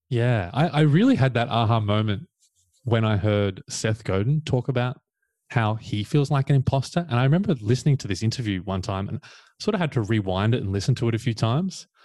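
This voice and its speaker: Spoken with an Australian accent at a fairly quick pace, the voice shows ordinary pitch variation against a quiet background. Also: man, medium pitch for a man. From Australia, Victoria coast. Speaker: coach. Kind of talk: casual chat.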